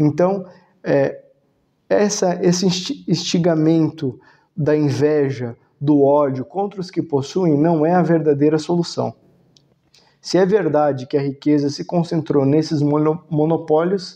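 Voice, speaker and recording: A man's dark, mellow voice at a fairly slow pace, with long, frequent pauses, ordinary pitch variation and a quiet background. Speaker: philosophy and religion video host. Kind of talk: lecture. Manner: halting, many filler sounds.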